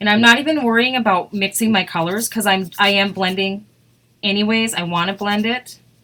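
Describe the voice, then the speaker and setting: A woman at medium pitch with an Upper Midwest US accent and a bright, sharp tone. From Wisconsin. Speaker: craft demonstrator. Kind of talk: live craft tutorial. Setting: live stream. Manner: fast.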